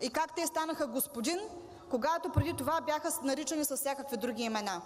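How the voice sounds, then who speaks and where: The delivery moves at a fairly quick pace. Pitch varies in an ordinary way. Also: woman. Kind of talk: parliamentary speech. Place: hall. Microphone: podium.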